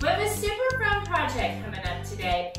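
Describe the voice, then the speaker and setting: A woman speaks with audible room echo as clear music plays in the background. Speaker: DIY channel host. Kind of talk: tutorial intro. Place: home room. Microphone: camera far.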